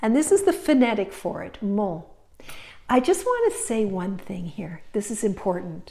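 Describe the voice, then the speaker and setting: Big loudness swings in a woman's speech, delivered at a moderate tempo. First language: French. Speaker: French teacher. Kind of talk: language lesson.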